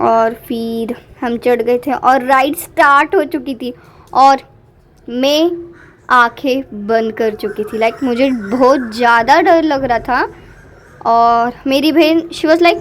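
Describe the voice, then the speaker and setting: High-pitched, a woman speaks with ordinary pitch variation. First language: Marathi (speaking Hindi). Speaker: vlogger. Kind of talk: vlog voiceover commentary. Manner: animated.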